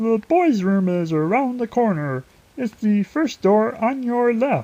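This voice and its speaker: Someone performs a put-on character voice set fairly high. The delivery is fairly slow. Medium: read story. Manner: firm, brisk.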